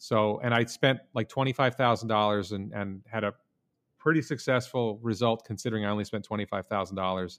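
A man with an American accent talks at a fairly quick pace in an unremarkable speaking voice, fairly low in pitch with ordinary pitch variation. The sound is dry and close, with no echo. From New York State (Albany area). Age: 50s. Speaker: former criminal defense lawyer, YouTuber and investor. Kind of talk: podcast interview.

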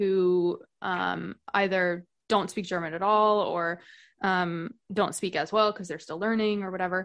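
A woman's plain, everyday voice at medium pitch, fairly slow and fairly even in intonation, over a quiet background. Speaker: podcast guest, expat. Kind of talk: casual chat.

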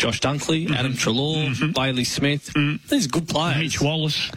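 With an Australian accent, a man speaks at a fairly quick pace and fairly high pitch with fairly even intonation, over noticeable background noise. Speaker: football commentator. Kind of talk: radio discussion.

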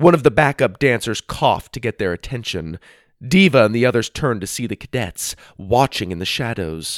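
A natural voice reads the words aloud.

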